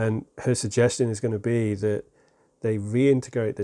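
A man's fairly low, dark, mellow voice in an English accent, with fairly even intonation at a moderate pace, in a very clean recording with a silent background. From England. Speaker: self-improvement podcast host. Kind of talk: unscripted solo monologue.

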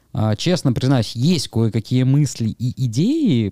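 The recording is very clean with a silent background, and the man's tone is dark and mellow. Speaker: event organizer and wrestling commentator. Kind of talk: casual chat.

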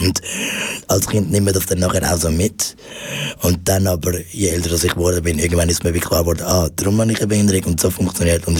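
Against noticeable background noise, a man with a very deep, low pitch talks very fast in a monotone, flat delivery with very even loudness. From Switzerland, Zurich. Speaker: stand-up comedian. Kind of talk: radio interview. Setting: studio. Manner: halting.

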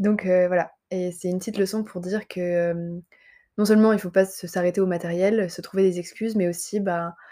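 Her dark, mellow tone sits at medium pitch as the woman speaks at a moderate pace in a monotone, flat intonation. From southern France, Montpellier. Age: 20s. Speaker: medical intern and content creator. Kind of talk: solo podcast monologue. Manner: hesitant, many fillers.

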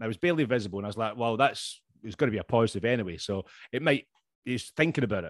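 Very fast and in a Scottish accent, a man talks at a medium pitch with ordinary pitch variation. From Scotland. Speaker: podcast host. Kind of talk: casual chat. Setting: video call. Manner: joking, swearing.

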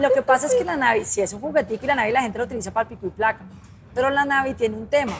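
Very fast delivery from a woman, fairly high in pitch and with ordinary pitch variation. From Colombia, Cali. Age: 30s. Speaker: motorcycle instructor and influencer. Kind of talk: interview conversation. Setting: trade fair.

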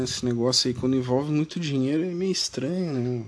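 This man speaks at a fairly quick pace. His pitch is medium, with ordinary variation. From Brazil, Rio Grande do Sul. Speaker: political podcaster. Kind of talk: casual political monologue. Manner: animated, informal.

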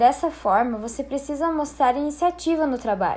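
A woman is speaking at a moderate pace. Her pitch shows ordinary variation. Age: 20s. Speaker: presenter of a professional skills talk. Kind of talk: lecture with slides. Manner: formal.

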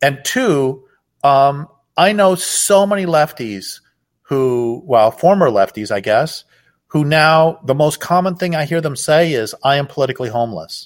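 Speaking at a fairly slow pace, a man with a plain, everyday voice uses lively intonation at a fairly high pitch. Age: 60s. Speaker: author and activist. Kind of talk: interview.

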